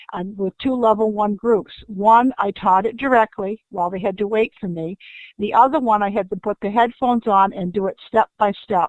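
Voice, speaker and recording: In a normal speaking voice, a woman talks at medium pitch and a moderate pace with fairly even intonation. The sound is dry and close, with no echo. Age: 60s. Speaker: school technology specialist. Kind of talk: audience question. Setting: online webinar from home.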